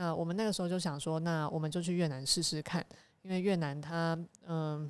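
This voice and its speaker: A woman with a fairly low pitch and an unremarkable speaking voice talks at a fairly quick pace with fairly even intonation. The recording is very clean, with a silent background. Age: young. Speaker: association chairperson, digital diplomacy activist. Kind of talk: casual chat.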